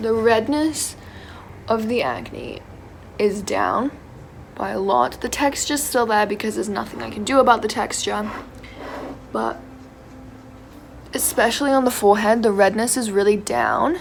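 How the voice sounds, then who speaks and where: With noticeable background noise behind her, a woman speaks at a moderate pace in a fairly high pitch with ordinary pitch variation and long, frequent pauses. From England, moved to Canada at five. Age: 20s. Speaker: beauty vlogger, student. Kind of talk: makeup tutorial. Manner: casual, hesitant with fillers.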